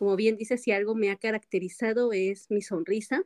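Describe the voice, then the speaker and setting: Dry and close with no echo, a woman's voice shows ordinary pitch variation. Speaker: motivational speaker. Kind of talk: interview. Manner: occasionally tongue-tied.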